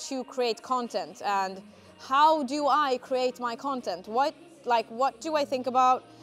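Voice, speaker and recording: Faint music plays in the background as a woman with a high pitch speaks with ordinary pitch variation. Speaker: fitness content creator. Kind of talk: casual vlog chat. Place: gym.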